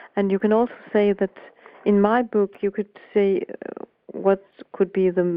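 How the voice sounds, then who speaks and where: With a Danish accent, a woman speaks at a medium pitch. Her pace is fairly slow. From Denmark. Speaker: voice coach and author. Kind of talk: interview. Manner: halting.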